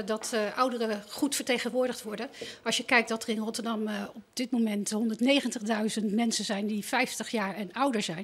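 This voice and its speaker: A woman talks at a moderate pace. Her pitch is fairly high and her intonation fairly even. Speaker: party representative. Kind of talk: TV interview. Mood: calm, earnest. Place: stage. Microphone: handheld.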